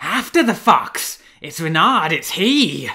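A put-on character voice in a bright, sharp tone with big pitch swings at a slow pace, on a very clean recording with a silent background.

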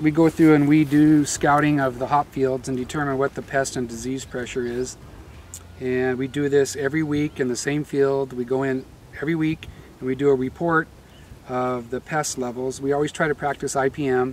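A man speaks at a moderate pace in a monotone with flat intonation. The sound is dry with no echo, and there is light background noise. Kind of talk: interview answer. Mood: calm, explanatory. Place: farm machine.

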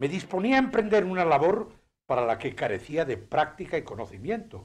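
Very wide pitch swings mark this man's speech. He talks at a moderate pace, with vocal fry. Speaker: radio announcer. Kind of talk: first-person recollection narration.

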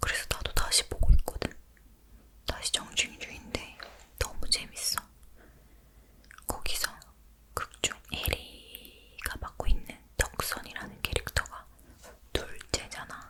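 A woman whispers very slowly, leaving long, frequent pauses, with noticeable background noise behind her. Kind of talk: ASMR whisper talk, casual chat about daily life. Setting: close-mic home recording in dim room. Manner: whispered, soft-spoken, intimate.

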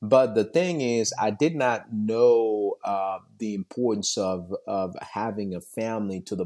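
The man's voice is fairly low with a dark, mellow tone. The background is quiet. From Haiti. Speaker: IT professional and father. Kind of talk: interview. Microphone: phone near.

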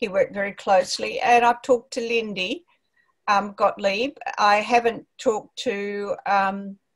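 The woman's pitch is medium and her intonation fairly even. She speaks at a fairly slow pace.

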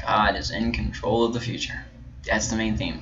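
Noticeable background noise runs under fairly fast speech. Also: man. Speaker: Bible teacher. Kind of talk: lecture. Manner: hesitant, many filler words.

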